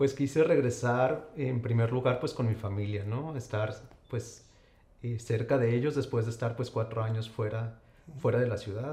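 A man's plain, everyday voice at medium pitch, moderate pace and fairly even intonation. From Saltillo, Coahuila, Mexico. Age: young. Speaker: endocrinologist. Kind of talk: interview.

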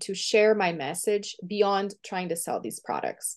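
Here a woman speaks at a medium pitch. She talks at a moderate pace. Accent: Portuguese. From Brazil. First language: Portuguese. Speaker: visibility coach and author. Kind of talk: interview conversation.

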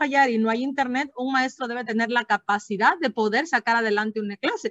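A woman speaks with a high pitch and ordinary pitch variation. Her pace is moderate, and the sound is dry and close with no echo. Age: 30s. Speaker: educator and podcast host. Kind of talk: educational podcast conversation.

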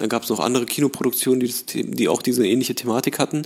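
A man with a medium-pitched voice and ordinary pitch variation speaks at a very fast pace. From Berlin (Charlottenburg), moved from Tehran at five. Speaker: actor and film director. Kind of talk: casual interview chat.

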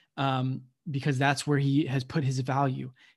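Fairly slow and somewhat breathy, a man with an American accent speaks at medium pitch. His intonation is monotone and flat. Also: very clean recording, silent background. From United States. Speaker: podcast co-host. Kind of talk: casual chat.

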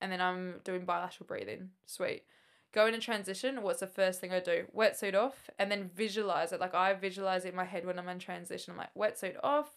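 On a very clean recording with a silent background, a woman speaks at medium pitch. Her pace is fairly quick and her intonation fairly even. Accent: Australian. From Queensland, Australia. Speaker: triathlete. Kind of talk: casual chat.

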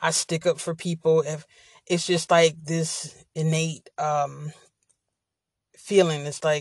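This woman's voice is very deep and low in pitch, somewhat breathy, with a monotone, flat intonation. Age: 40s. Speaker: podcast host. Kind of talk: casual monologue. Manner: frequent filler words.

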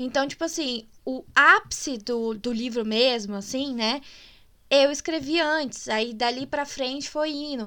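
Projecting her voice, a woman speaks at a high pitch with a bright, sharp tone in a very clean recording with a silent background. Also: ordinary pitch variation, fairly slow pace. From Minas Gerais, Brazil. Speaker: podcast host and writer. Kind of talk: casual chat. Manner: animated.

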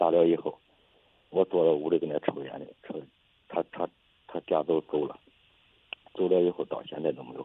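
A man speaks at a fairly quick pace. His pitch is very deep and low, and his intonation is fairly even. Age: 20s. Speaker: caller seeking advice. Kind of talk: personal story on call-in show. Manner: halting, repetitive.

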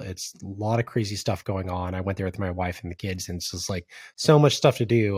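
Using an ordinary speaking voice, a man talks at a fairly quick pace in a fairly low pitch with fairly even intonation. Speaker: podcast host. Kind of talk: casual interview.

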